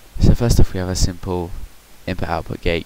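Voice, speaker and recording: Against noticeable background noise, a man with a very deep, low pitch speaks at a moderate pace with fairly even intonation. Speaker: gaming youtuber. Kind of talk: tutorial. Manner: soft-spoken; halting.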